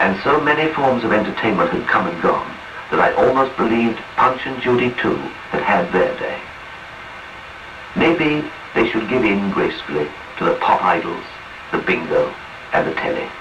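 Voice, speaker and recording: With noticeable background noise, a man speaks at a moderate pace broken by long, frequent pauses. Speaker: radio narrator. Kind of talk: radio autobiography reading.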